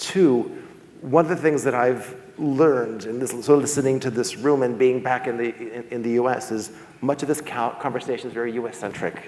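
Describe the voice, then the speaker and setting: A man at medium pitch, moderate pace and fairly even intonation, with audible room echo and noticeable background noise. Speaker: tech company accessibility lead. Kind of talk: panel discussion. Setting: stage with audience. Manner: loud.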